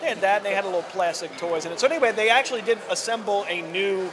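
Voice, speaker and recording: Very fast speech from a man runs over noticeable background noise. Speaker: podcast host. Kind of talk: casual conversation.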